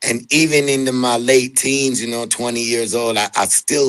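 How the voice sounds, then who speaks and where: Over noticeable background noise, a man of medium pitch talks at a fairly slow pace with fairly even intonation. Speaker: reggae singer. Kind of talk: interview.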